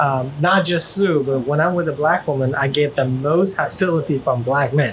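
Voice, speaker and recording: There is noticeable background noise behind this voice. A man talks at a fairly high pitch. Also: ordinary pitch variation, moderate pace, very even loudness. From China. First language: Chinese. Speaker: vlogger interviewed about his relationship. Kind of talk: casual interview chat. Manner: halting, many fillers and restarts.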